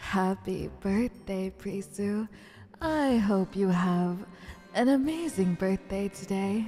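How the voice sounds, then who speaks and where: A female-sounding, put-on character voice speaks at a very slow pace and medium pitch. Clear music plays in the background. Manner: cheerful, warm.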